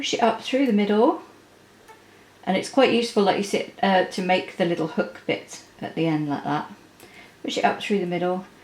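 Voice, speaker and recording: A woman speaks at a moderate pace with lively intonation and a medium pitch. She takes long, frequent pauses over noticeable background noise. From Yorkshire, northern England. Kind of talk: tutorial. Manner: casual, with frequent fillers.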